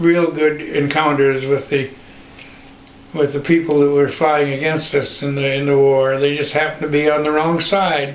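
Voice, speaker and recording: Over noticeable background noise, a man with a Western US accent speaks at a moderate pace in a fairly high, monotone voice with flat intonation. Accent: American Western. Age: 80s+. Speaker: pilot, war veteran. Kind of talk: personal anecdote, oral history. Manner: hesitant, halting.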